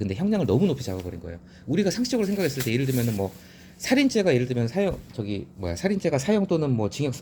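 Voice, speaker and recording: A dark, mellow tone with very wide pitch swings and some breathiness. The pace is very fast. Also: man. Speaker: newspaper editorial commentator. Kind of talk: reading and commenting on newspaper editorials. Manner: casual explanatory, self-correcting.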